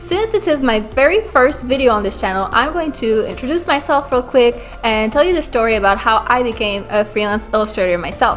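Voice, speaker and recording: A woman talks at a fairly quick pace with hardly any pauses, her high pitch rising and falling in lively intonation. Noticeable background noise runs underneath. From Quebec, Montreal. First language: French. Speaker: illustrator and art business YouTuber. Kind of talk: casual vlog talk to camera.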